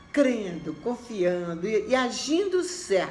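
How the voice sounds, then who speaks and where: A woman at a very slow pace, with audible room echo and music in the background. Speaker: religious message presenter. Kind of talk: sermon.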